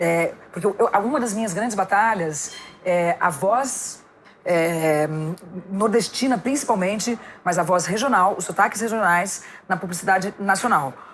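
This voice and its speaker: A medium-pitched woman at a fairly slow pace with ordinary pitch variation, over noticeable background noise. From São Paulo. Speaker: actress and voice-over artist. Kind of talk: casual chat. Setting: podcast recorded in a bar set.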